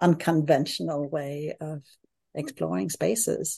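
A woman speaks with a Danish accent over a quiet background. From Denmark. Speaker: architect and hotel designer. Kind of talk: casual interview.

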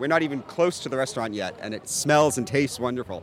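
Noticeable background noise sits behind a voice whose pitch varies in an ordinary way. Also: man. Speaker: editor. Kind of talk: casual interview. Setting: studio.

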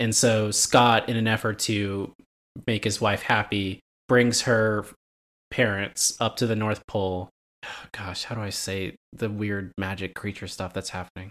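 A man speaks at a fairly slow pace. The recording is very clean, with a silent background. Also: fairly low pitch for a man. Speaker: movie podcast co-host. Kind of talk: casual chat. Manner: animated.

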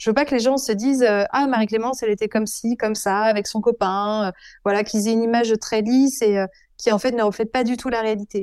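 The voice has a dark, mellow tone, moving at a fairly quick pace with fairly even intonation. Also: woman, very clean recording, silent background. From France, Avignon (Provence). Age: 30s. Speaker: speaker and author. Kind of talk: interview testimony.

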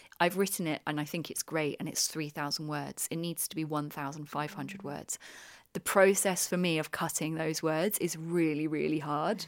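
In a very clean recording with a silent background, a woman with a very deep, low pitch talks at a moderate pace with fairly even intonation. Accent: British. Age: 30s. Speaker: journalist and creative director. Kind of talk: interview. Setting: on a retreat.

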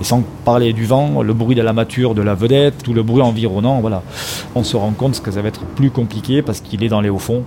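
A man's medium-pitched voice with fairly even intonation over noticeable background noise. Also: fairly quick pace. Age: 50s. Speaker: volunteer sea rescuer, former firefighter. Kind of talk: testimony.

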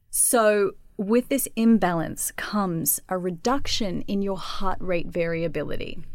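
A woman speaks with an Australian accent at a medium pitch. The recording is very clean, with a silent background. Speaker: personal trainer and yoga teacher. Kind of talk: casual interview chat.

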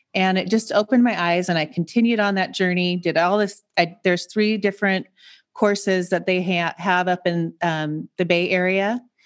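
An ordinary speaking voice with an American accent comes at a moderate pace, very even in loudness and fairly even in intonation, against a quiet background. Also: woman, medium pitch for a woman. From US Pacific Northwest, Seattle. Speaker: transformational coach. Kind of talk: casual chat.

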